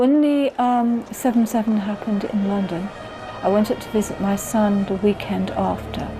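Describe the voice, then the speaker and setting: A woman with a Bristol accent speaks with fairly even intonation while music plays in the background. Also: fairly high pitch for a woman, moderate pace. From England, Bristol. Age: 60s. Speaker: documentary interviewee. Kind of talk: personal testimony interview.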